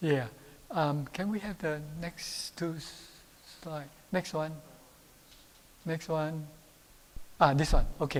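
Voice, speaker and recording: This man's voice sits fairly high in pitch and moves at a very slow pace, with fairly even intonation, big swings in loudness, and long, frequent pauses. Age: 80s+. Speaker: medical doctor and health speaker. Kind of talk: health talk with audience questions. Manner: hesitant, many fillers.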